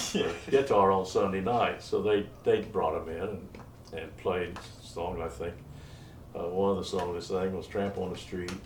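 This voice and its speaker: With an American accent, a man talks at a moderate pace in a very deep, low, somewhat breathy voice with fairly even intonation and audible room echo. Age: 80s+. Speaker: retired musician and songwriter. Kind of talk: oral history interview. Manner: halting, many fillers.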